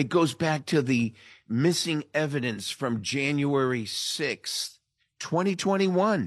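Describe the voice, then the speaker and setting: Speaking at a very slow pace with lively intonation, a man is heard against a quiet background. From Italian-American. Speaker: podcast host and political commentator. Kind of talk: political commentary on radio show. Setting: video call. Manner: stumbling over words this morning.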